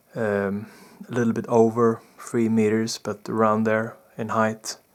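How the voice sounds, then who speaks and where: A man speaks softly, his intonation flat and monotone. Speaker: spiritual experiencer / vlogger. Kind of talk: personal testimony. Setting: indoors in bedroom at night. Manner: soft-spoken, talking low; halting, many fillers.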